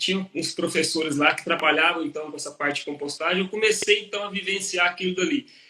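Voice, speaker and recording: Over noticeable background noise, a man with a high pitch talks at a fairly quick pace in a raised, projected voice. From Brazil, interior of Minas Gerais. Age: 40s. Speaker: agronomist and professor. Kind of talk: interview on a live stream. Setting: live stream. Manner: conversational, with hesitations and fillers.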